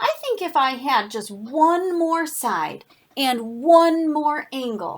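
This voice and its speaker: Using a put-on character voice, a woman speaks in a high pitch. Her pace is very slow. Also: lively intonation. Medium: read story. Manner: grumbling.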